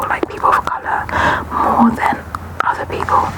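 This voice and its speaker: A woman whispers in a relaxed tone over noticeable background noise. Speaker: ASMR creator. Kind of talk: ASMR product review talking to camera. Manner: breathy whisper, relaxed.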